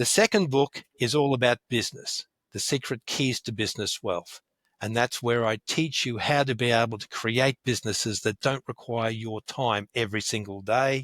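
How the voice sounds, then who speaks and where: A man with an Australian accent talks at a moderate pace and medium pitch with fairly even intonation, in a very clean, dry, close recording with no echo and a silent background. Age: 60s. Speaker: wealth educator and author. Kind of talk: interview.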